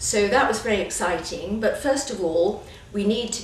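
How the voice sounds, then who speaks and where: With a British accent and lively intonation, a woman is heard through audible room echo and noticeable background noise. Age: 60s. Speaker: children's book author. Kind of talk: interview.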